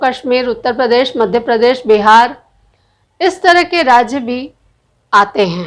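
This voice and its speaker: This woman has a Bihari accent. Her pitch sits high. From Bihar, India. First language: Bhojpuri (speaking Hindi). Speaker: political commentator, video blogger. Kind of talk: opinion monologue. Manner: animated.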